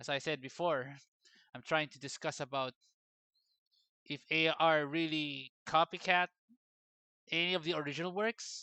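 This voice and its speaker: Delivered at a moderate pace, the speech comes with a non-native accent. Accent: non-native English accent, self-noted. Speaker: 3D artist and vlogger. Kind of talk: casual opinion vlog.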